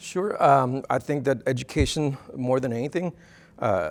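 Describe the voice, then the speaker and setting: Heard in a very clean recording with a silent background, a man with a Spanish accent speaks with ordinary pitch variation. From Texas–Mexico border (Rio Grande Valley). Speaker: university dean of students. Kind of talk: interview. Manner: halting, many fillers.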